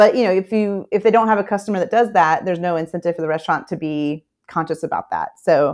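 A woman with an American accent in an unremarkable speaking voice, fairly quick in pace with ordinary pitch variation. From US South, Memphis, Tennessee. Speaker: fisheries policy director. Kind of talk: interview.

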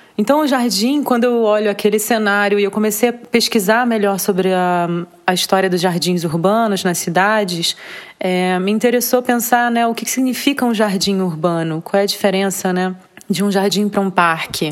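This woman talks at a moderate pace. Her pitch sits in the medium range, with ordinary variation. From Rio de Janeiro, Brazil. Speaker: visual artist. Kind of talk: interview. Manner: halting.

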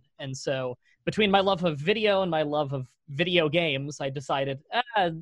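With a Canadian accent and an ordinary speaking voice, a man talks at a moderate pace and fairly high pitch, his pitch varying in an ordinary way, in a dry, close sound with no echo against a quiet background. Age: 20s. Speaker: YouTube content creator. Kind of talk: casual interview.

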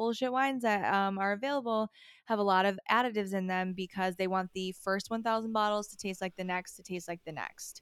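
A normal speaking voice moves at a fairly quick pace with fairly even intonation and hardly any pauses, on a very clean recording with a silent background. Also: woman. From upstate New York. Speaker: wine expert. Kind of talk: casual interview.

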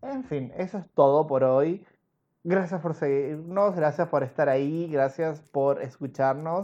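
Against a quiet background, a man speaks very slowly in a dark, mellow tone, his pitch fairly high with ordinary variation. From Argentina. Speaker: podcast host. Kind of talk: casual chat. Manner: animated.

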